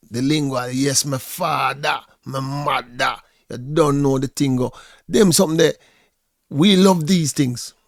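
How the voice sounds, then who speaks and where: In a very clean recording with a silent background and a dry, close sound with no echo, a man speaks with a Jamaican accent at medium pitch, with ordinary pitch variation and a fairly slow pace. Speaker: vlogger. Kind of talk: reaction commentary. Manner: halting, repetitive.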